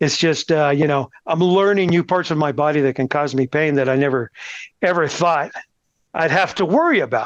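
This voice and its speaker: With a normal speaking voice and an American accent, a man talks at a moderate pace and fairly high pitch, with ordinary pitch variation and very even loudness, in a dry, close sound with no echo against a quiet background. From Texas, El Paso. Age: 60s. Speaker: cancer patient. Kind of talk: interview.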